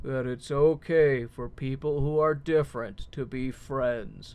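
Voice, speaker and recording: A man puts on a character voice. He talks at a fairly slow pace and a medium pitch. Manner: sinister, smooth.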